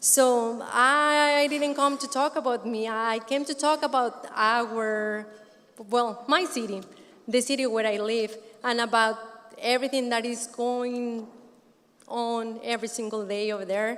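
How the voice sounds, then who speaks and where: A fairly high-pitched woman with a Spanish accent at a fairly slow pace. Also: fairly even intonation. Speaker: community resident speaker. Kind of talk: conference speech.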